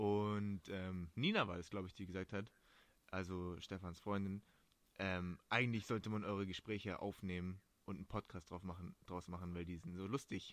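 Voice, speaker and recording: Here a man speaks with a very deep, low pitch. He keeps a moderate pace and fairly even intonation. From Stuttgart area, Germany. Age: 20s. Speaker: podcast co-host. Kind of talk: casual chat. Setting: video call.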